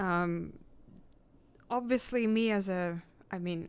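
The recording is very clean over a silent background. A woman's voice sits at a medium pitch. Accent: Russian. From Russia (Irkutsk, Tatarstan). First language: Russian. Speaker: graduate student and nonprofit organizer. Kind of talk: radio panel discussion.

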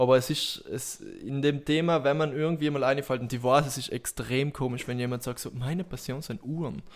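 In a very clean recording with a silent background, a man with a normal speaking voice talks fairly quickly with hardly any pauses, at a fairly high pitch and with fairly even intonation. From South Tyrol, Italy. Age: 20s. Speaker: self-employed entrepreneur. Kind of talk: casual chat.

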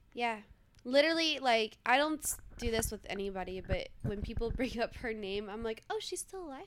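Using an ordinary speaking voice, a woman with an American accent talks at a moderate pace and a fairly high pitch, with lively intonation and big swings in loudness. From Los Angeles, US. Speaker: adult film performer. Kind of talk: casual chat.

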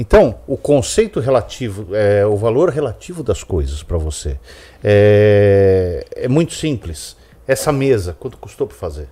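This man's voice is fairly low in pitch and somewhat breathy, moving at a fairly slow pace. His pitch swings very widely and his loudness rises and falls a lot. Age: 50s. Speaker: friend of the hosts giving personal finance views. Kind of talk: casual chat.

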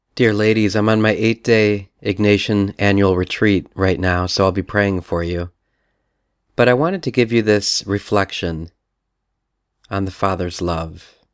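Speaking fairly slowly, a man uses a fairly low pitch in a normal speaking voice. The recording is very clean, with a silent background. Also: fairly even intonation. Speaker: priest leading retreat. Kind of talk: guided meditation. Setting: recorded message for women's retreat. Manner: slow, calm, soothing; gentle, with long pauses.

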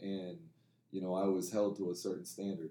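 With an American accent, a man speaks at a very deep, low pitch. His tone is dark and mellow. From Alaska and central Oregon. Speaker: women's college basketball head coach. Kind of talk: interview. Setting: at a basketball event in Dallas.

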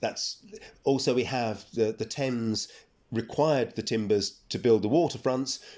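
A man with a London accent, a dark, mellow tone and medium pitch, with ordinary pitch variation at a moderate pace. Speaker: archaeologist and professor. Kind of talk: interview. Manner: halting.

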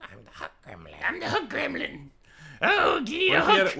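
This high-pitched, put-on character voice moves at a moderate pace. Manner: playful, goofy.

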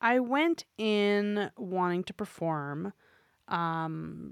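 On a very clean recording with a silent background, the voice shows ordinary pitch variation. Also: woman. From New York City (Manhattan). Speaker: performer, author and educator. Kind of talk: interview conversation.

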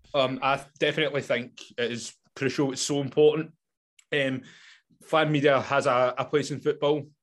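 With a Scottish accent, a man speaks at a moderate pace in a fairly high pitch and monotone, flat intonation against a quiet background. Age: 20s. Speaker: football podcaster. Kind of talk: interview. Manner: halting.

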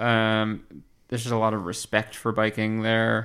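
On a very clean recording with a silent background, a man with an American accent has an ordinary speaking voice at a medium pitch and a moderate pace. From Pennsylvania. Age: 30s. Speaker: transportation planner. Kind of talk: casual chat.

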